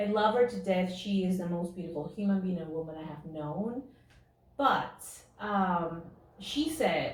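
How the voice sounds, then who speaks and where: A woman with a Spanish accent at a medium pitch and fairly slow pace, ordinary pitch variation, big swings in loudness, audible room echo and noticeable background noise. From Peru. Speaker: actress. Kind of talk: interview.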